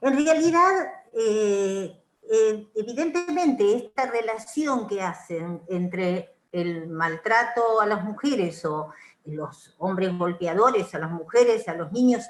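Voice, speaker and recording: Speaking very slowly, a woman uses a fairly high pitch with very wide pitch swings. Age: 70s. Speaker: psychoanalyst. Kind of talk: panel discussion remarks.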